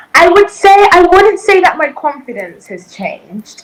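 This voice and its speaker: In a British accent, a woman talks at a moderate pace. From southern Africa, raised in the UK from childhood. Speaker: reality TV competitor. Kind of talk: interview.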